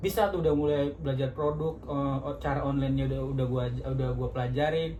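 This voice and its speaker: Noticeable background noise runs under talking that is fairly quick. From North Sumatra, Medan. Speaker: insurance telemarketer. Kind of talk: casual podcast chat.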